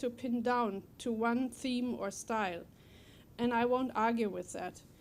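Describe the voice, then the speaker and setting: A woman with a German accent speaks at a high pitch and a moderate pace, her intonation fairly even. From Germany. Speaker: poet. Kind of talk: prepared speech at a book talk. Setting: library event with audience.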